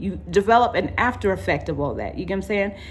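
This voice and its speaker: Audible room echo rings around the speech. The accent is American. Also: woman. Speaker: vlogger. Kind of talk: personal vlog monologue. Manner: fast.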